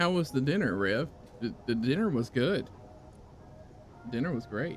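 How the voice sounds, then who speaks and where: A man with a Southern US accent talks at a moderate pace and medium pitch, his pitch swinging very widely, over music in the background. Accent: Southern US accent, fairly strong. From US South. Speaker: gaming streamer. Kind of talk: casual chat.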